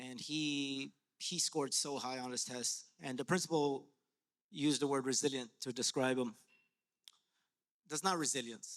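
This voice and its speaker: A man with a Spanish accent, medium-pitched, at a moderate pace with fairly even intonation. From Latin America, immigrant to US. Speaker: educator and artist. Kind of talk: panel discussion. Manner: rhythmic, passionate; halting, repeats words.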